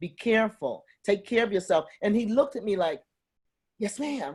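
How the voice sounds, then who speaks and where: A woman speaks in a somewhat breathy voice. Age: 70s. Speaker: activist working with incarcerated women. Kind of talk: panel discussion. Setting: video call.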